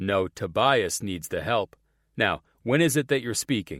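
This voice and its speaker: A man puts on a growling character voice at a medium pitch with lively intonation. The sound is dry and close, with no echo. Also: moderate pace, very clean recording, silent background. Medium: read story.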